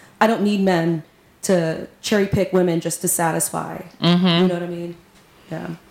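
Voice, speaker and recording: Speaking at a moderate pace, a woman with an American accent uses fairly low pitch and monotone, flat intonation. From Texas. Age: 40s. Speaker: community organizer and musician. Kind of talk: casual interview.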